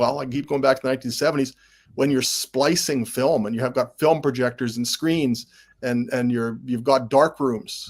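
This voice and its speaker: A man with a plain, everyday voice and a Canadian accent speaks at a moderate pace in a medium pitch with fairly even intonation, in a very clean recording with a silent background. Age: 60s. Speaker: sportswriter and football historian. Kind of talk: casual chat.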